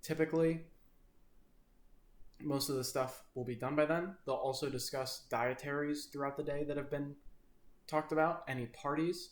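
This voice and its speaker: Talking at a moderate pace with long, frequent pauses, a man with a fairly high pitch keeps a monotone, flat intonation. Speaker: culinary student on kitchen externship. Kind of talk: video presentation.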